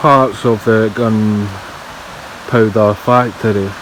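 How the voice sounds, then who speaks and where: There is noticeable background noise as a man speaks with a Scottish accent. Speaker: exploration vlogger. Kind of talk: walking vlog narration. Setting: outdoors. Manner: casual, conversational.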